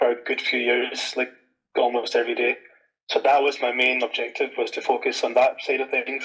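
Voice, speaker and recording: This man talks at a fairly quick pace. He has a Scottish accent. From Scotland. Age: 20s. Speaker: penetration tester. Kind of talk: interview. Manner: casual, many fillers.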